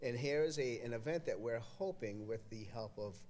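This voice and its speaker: With an American accent and lively intonation, a man talks at a moderate pace and medium pitch amid audible room echo. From Massachusetts, Everett (Boston area). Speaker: community event organizer, board member. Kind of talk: casual interview chat. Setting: podcast studio at an arts festival, live stream. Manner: halting, many fillers.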